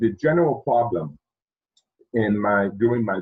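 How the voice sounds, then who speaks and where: A man talks at a medium pitch with a Haitian accent. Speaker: project management speaker. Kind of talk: presentation.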